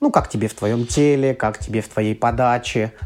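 A man with an ordinary speaking voice talks at a moderate pace, his pitch varying in an ordinary way. The recording is very clean with a silent background. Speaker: psychotherapist. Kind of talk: casual chat.

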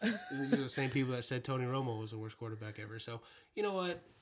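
With an American accent, a man of medium pitch talks at a very fast pace. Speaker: host's husband. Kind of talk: casual chat. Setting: home bedroom recording.

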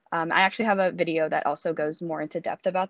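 Dry and close with no echo, the voice moves at a very fast pace with fairly even intonation. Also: woman. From Singapore. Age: 20s. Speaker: university student and YouTuber. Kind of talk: casual interview.

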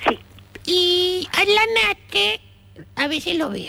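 A woman projects her raised voice across very wide pitch swings. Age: 70s. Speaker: retired woman chatting with a friend. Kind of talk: casual phone chat.

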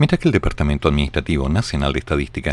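A man talks with lively intonation. His voice has vocal fry. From Chile. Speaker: radio show host and commentator. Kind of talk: live radio news commentary. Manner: reading news aloud.

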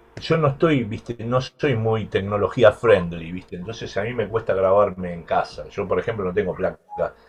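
At a moderate pace, a man talks in a plain, everyday voice of medium pitch with lively intonation. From Argentina, Buenos Aires. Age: 60s. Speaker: bass player. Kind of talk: interview.

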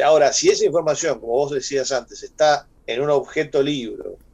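Here a man is speaking. His pace is moderate. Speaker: radio host. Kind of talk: casual chat.

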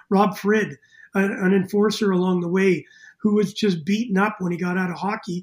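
In a Canadian accent, a man with a high pitch speaks at a fairly quick pace with fairly even intonation. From Canada, Winnipeg, Manitoba. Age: 60s. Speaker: former pro hockey player and coach. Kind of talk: casual interview.

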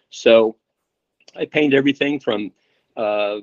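A man's fairly low-pitched voice moves with fairly even intonation. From US Midwest (Indiana, small town). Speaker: painter. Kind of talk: casual interview.

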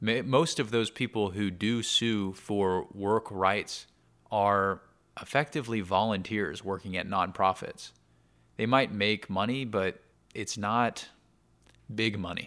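A man's calm, fairly low voice with an American accent, fairly even intonation and a fairly slow pace, on a very clean recording with a silent background. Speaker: podcaster. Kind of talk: casual monologue.

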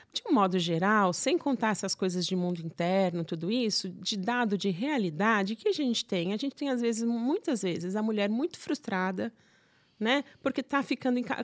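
A woman with a fairly high pitch, lively intonation and an ordinary speaking voice talks at a fairly quick pace. The recording is very clean with a silent background, and the sound is dry and close with no echo. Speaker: psychotherapist and gynecologist. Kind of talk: casual interview.

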